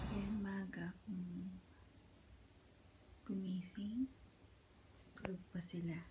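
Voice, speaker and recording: Here a woman talks at a very slow pace. She leaves long, frequent pauses. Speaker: vlogger, mother. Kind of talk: casual vlog. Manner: soft-spoken.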